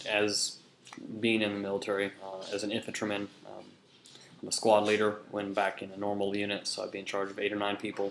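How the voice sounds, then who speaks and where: The pace runs fairly quick. Words are spoken in an American accent. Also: man. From Kansas, US Midwest (Hutchinson). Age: 20s. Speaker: soldier and student. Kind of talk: class introduction speech. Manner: many filler words (um, uh).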